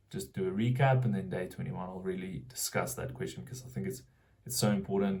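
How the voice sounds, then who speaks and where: A man in a South African accent, with vocal fry and very wide pitch swings. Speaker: vlogger building a marketing business. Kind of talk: casual vlog monologue. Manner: halting, many fillers and restarts.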